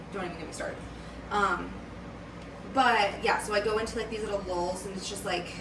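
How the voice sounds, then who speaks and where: Amid audible room echo and noticeable background noise, a woman with a medium pitch speaks with long, frequent pauses. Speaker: vlogger. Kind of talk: casual vlog monologue. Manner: slow, less animated when depressed.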